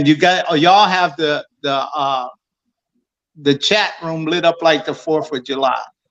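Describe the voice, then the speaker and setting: In a normal speaking voice, a man's fairly high pitch carries ordinary pitch variation as he talks at a fairly slow pace. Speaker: boxing radio show host and trainer. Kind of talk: radio show host banter. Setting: live radio show stream.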